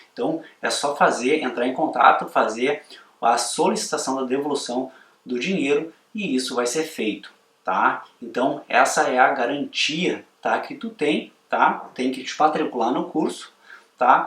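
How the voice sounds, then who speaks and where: At a fairly slow pace, a man with a fairly high pitch talks with ordinary pitch variation. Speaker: photography course instructor. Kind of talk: sales pitch.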